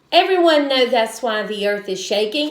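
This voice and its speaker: A woman puts on a gruff character voice at a fairly high pitch. She moves at a moderate pace with lively intonation. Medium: read story. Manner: barking, gruff.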